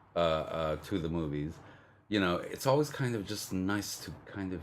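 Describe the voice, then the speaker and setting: Audible room echo surrounds a man whose very deep, low voice swings very widely in pitch. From Canada. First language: Spanish. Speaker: film podcast co-host. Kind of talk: casual chat. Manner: hesitant, many fillers.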